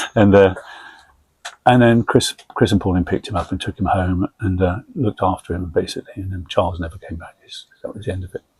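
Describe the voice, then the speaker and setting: A man with an English accent talks at a very fast pace in a fairly low, somewhat breathy voice, with fairly even intonation and big swings in loudness. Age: 70s. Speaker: army veteran, identical twin. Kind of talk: casual family interview.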